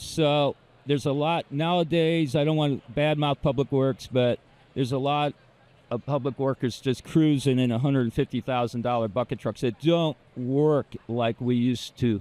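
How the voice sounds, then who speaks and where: With a normal speaking voice, a man keeps fairly even intonation at a medium pitch and a moderate pace. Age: 60s. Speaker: arborist. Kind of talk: interview answer.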